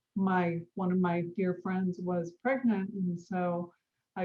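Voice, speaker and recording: With a fairly low pitch and a somewhat breathy voice, a woman speaks at a very slow pace in monotone, flat intonation. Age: 60s. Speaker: Montessori educator and midwife. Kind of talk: interview conversation.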